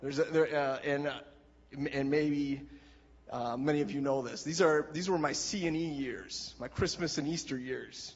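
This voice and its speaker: A man speaks in an Upper Midwest accent. His pace is moderate and his intonation fairly even. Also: fairly high pitch for a man. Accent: Upper Midwest American. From Wisconsin, small town. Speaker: church member giving testimony. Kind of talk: testimony.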